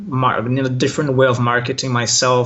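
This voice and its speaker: A man with a Brazilian accent talks at a fairly quick pace. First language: Portuguese. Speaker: online language teacher. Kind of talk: interview. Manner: hesitant, many fillers.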